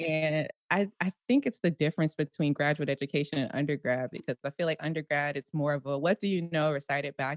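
A woman with an American accent and a very deep, low pitch at a fairly quick pace, in a dry, close sound with no echo. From Washington D.C. and Prince George's County, Maryland. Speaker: engineering professor. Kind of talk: casual interview. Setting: video call.

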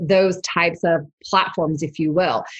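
There is a somewhat breathy quality to the voice. The speaker is a woman. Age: 40s. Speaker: digital marketing entrepreneur. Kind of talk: interview podcast.

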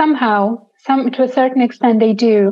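With a Romanian accent, a woman speaks at a moderate pace using fairly even intonation. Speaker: NGO founder. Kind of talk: interview.

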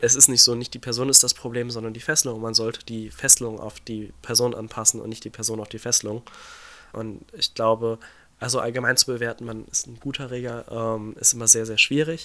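A man with a bright, sharp, medium-pitched voice speaks fairly quickly in a flat monotone, his loudness swinging widely. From western Germany (North Rhine-Westphalia). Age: 20s. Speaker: shibari practitioner. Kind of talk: interview answers, casual. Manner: hesitant, many fillers.

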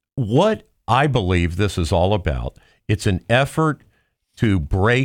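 In a very clean recording with a silent background and a dry, close sound without echo, a man speaks fairly slowly at a fairly low pitch with very wide pitch swings. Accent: American. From Cincinnati, Ohio. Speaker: co-host, automobile industry commentator. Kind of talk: casual chat.

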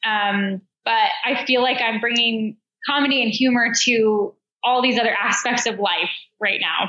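A woman with an American accent speaks at a fairly slow pace in an ordinary speaking voice. Her pitch is fairly high, her intonation fairly even, and her loudness very even. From Denver, Colorado, US. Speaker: elite marathon runner and running coach. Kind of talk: interview.

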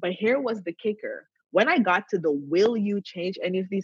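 A woman's somewhat breathy voice sits at a medium pitch and swings very widely. She keeps a moderate pace, and the sound is dry and close with no echo. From Canada. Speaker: wellness coach. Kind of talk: interview.

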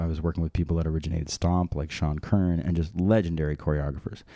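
Very deep and low in pitch, a man talks with fairly even intonation and a dark, mellow tone over a very clean recording with a silent background. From New Jersey (Maplewood). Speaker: musician. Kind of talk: casual chat.

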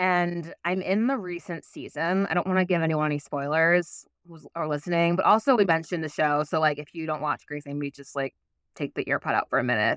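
In an ordinary speaking voice, a woman with an American accent talks at a fairly quick pace and fairly low pitch, with ordinary pitch variation and big swings in loudness, the sound dry and close with no echo against a quiet background. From New York City, Manhattan. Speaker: life coach and playwright. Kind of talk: interview conversation.

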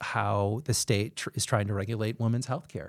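Using a plain, everyday voice, a man with an American accent speaks at medium pitch and a moderate pace. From Chicago. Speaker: city council candidate. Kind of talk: interview conversation.

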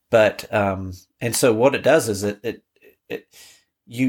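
The recording is very clean with a silent background. A man with a New Zealand accent speaks at a medium pitch with fairly even intonation. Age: 50s. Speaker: father with cancer. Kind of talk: interview conversation. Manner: halting.

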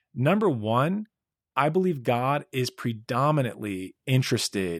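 With a normal speaking voice, a man speaks at a fairly slow pace and medium pitch on a very clean recording with a silent background and a dry, close sound with no echo. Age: 40s. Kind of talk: solo religious teaching podcast.

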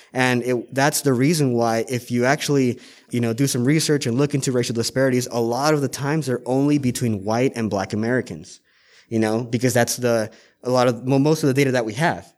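A man with a plain, everyday voice speaks at a fairly quick pace in a medium pitch, his intonation fairly even, on a very clean recording with a silent background. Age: 20s. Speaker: cannabis pharmacy agent. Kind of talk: casual interview. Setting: on location at a dispensary.

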